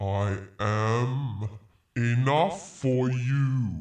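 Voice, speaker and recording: A man puts on a booming character voice at a medium pitch. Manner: creepy.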